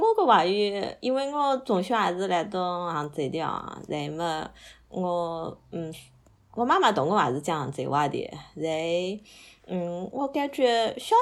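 The speech moves at a fairly slow pace with very wide pitch swings. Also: woman. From Hangzhou, Zhejiang, China. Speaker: podcast guest. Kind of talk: casual chat.

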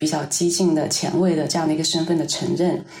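A woman with a fairly low pitch speaks in a monotone, flat intonation amid audible room echo. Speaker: artist. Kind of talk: interview conversation.

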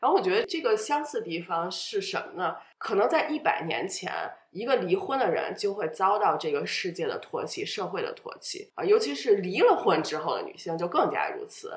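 Noticeable background noise is present as the woman speaks at a moderate pace. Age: 30s. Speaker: podcast guest sharing divorce story. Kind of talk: personal interview.

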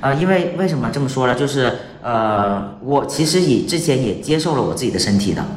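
Audible room echo and noticeable background noise surround this man's medium-pitched voice. He speaks at a fairly quick pace with lively intonation. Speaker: transgender man, LGBT fertility helper. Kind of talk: casual interview. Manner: halting.

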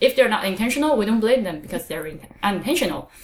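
This woman has a Chinese accent. Her intonation is lively. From China. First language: Mandarin Chinese. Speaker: podcast host. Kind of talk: casual chat.

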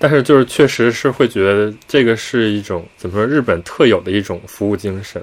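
Talking at a fairly quick pace, a man uses a normal speaking voice with medium pitch and ordinary pitch variation. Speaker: podcast co-host. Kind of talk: casual chat.

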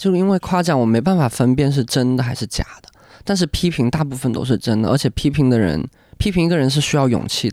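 Lively intonation at a very fast pace, in a very clean, dry, close recording with no echo and a silent background. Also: man, medium pitch for a man. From Guangdong, China (Hakka). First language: Hakka and Cantonese (speaking Chinese). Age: 20s. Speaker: band lead singer. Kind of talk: casual chat.

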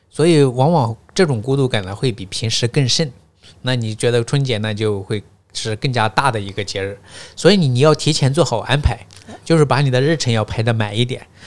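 Here a man speaks in an unremarkable speaking voice at a fairly quick pace. His pitch is medium, with ordinary pitch variation. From northwest China, Gansu, Baiyin, Jingtai county. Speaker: podcast guest, teacher. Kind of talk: casual interview chat.

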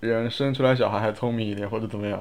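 His pitch varies in an ordinary way as the man races along at a very fast pace. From Wuxi, Jiangsu, China. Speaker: podcast guest. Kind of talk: casual chat.

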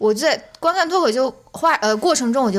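With very wide pitch swings, a woman speaks at a fairly quick pace. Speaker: podcast co-host. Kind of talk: casual chat.

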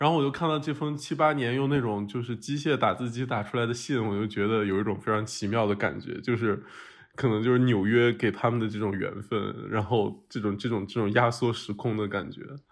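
A man with an unremarkable speaking voice talks at a fairly quick pace and medium pitch, with ordinary pitch variation and hardly any pauses. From Shanxi, northern China. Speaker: podcast host. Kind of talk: casual chat. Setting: remote recording, three locations.

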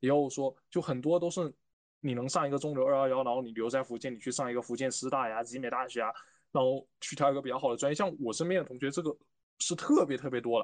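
Over a quiet background, a man at a medium pitch speaks at a very fast pace with fairly even intonation. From Fujian, China. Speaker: university student. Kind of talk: casual chat.

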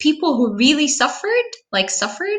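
A woman's bright, sharp tone. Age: 30s. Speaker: preschool teacher and translator. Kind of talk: casual interview.

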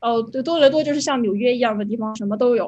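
A woman speaks at a very fast pace. Her pitch is fairly high. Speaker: UX designer. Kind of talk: panel discussion. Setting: video call.

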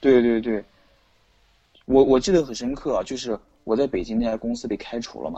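Long, frequent pauses break up a man's fairly quick speech, his medium pitch showing ordinary variation. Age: 30s. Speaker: experimental electronic musician. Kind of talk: casual chat. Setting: online call.

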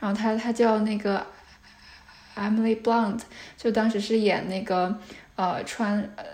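Speaking at a fairly slow pace with long, frequent pauses, a woman keeps her fairly high pitch in a monotone, flat intonation. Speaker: PhD candidate researching stuttering. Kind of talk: interview. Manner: frequent sound and syllable repetitions.

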